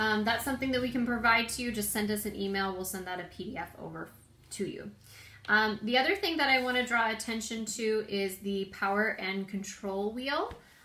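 A woman's bright, sharp voice with ordinary pitch variation at a moderate pace, with audible room echo. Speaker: prevention educator. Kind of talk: informational talk. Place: home room. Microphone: phone near.

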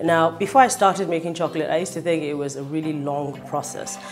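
A woman's very deep, low voice at a fairly quick pace, faint music in the background. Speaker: cooking show host. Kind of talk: cooking show presentation. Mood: cheerful, enthusiastic. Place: kitchen.

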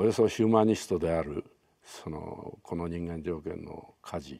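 A man with a very deep, low pitch speaks over a quiet background. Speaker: actor recalling a film. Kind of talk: interview answer. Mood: calm, reflective, light laugh. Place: home room. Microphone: lapel.

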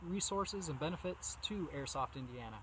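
A man talks at a moderate pace with ordinary pitch variation. The sound is dry with no echo, with light background noise. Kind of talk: casual vlog talk. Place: forest.

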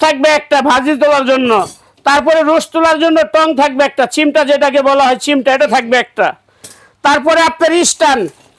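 An extremely high-pitched man's voice with very even loudness. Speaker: shopkeeper selling dinnerware. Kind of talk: sales pitch. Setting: shop. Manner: animated.

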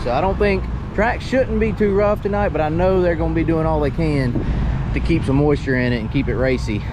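A man talking at a fairly quick pace, dry sound with no echo, noticeable background noise. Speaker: race team member vlogger. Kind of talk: casual vlog chat. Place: open country. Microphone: phone near.

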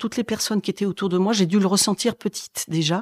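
A woman talks at a medium pitch with ordinary pitch variation. The sound is dry and close, with no echo. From France, Corrèze (Brive-la-Gaillarde). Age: 60s. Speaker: schoolteacher. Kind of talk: testimony. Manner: halting, many hesitations and repetitions.

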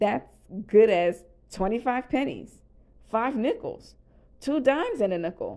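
A woman puts on a character voice, fairly high in pitch yet dark and mellow in tone. She speaks slowly with big pitch swings.

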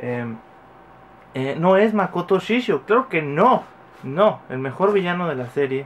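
A man speaks at a very slow pace with very wide pitch swings and long, frequent pauses. Light background noise is present. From Mexico. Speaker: YouTuber, toy unboxing; YouTuber. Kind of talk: casual vlog unboxing. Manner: animated. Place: home room. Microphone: phone near.

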